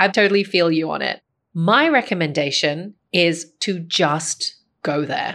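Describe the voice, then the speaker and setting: On a very clean recording with a silent background, a woman talks at a medium pitch. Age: 30s. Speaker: leadership and life coach. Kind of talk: solo podcast monologue.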